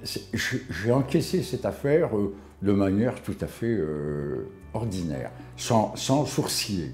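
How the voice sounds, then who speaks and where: Very slowly and with very wide pitch swings, a man speaks at a fairly low pitch over noticeable background noise. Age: 70s. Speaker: retired army officer, cancer patient. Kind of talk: testimony. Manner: halting, with many hesitations.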